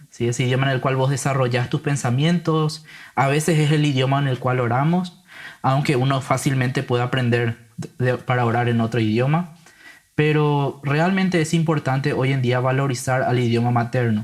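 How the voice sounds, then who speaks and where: At a moderate pace, a man speaks in a somewhat breathy, medium-pitched voice, with fairly even intonation and very even loudness. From Paraguay (grew up in San Lorenzo). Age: 20s. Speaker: Bible translator. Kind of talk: casual interview conversation.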